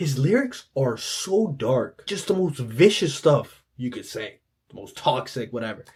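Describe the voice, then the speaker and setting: Somewhat breathy and fairly high in pitch, a man talks at a fairly slow pace with very wide pitch swings and big swings in loudness. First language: not English. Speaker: music reviewer. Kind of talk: album reaction commentary. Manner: casual, enthusiastic.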